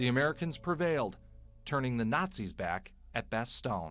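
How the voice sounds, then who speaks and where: A man speaks at a moderate pace. Music is audible in the background. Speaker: news reporter. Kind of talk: TV news narration.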